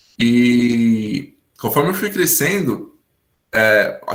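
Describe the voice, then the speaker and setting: Somewhat breathy, the man's voice has lively intonation. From São Paulo state, Brazil (Hortolândia). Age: 20s. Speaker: English teacher sharing personal story. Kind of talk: testimony.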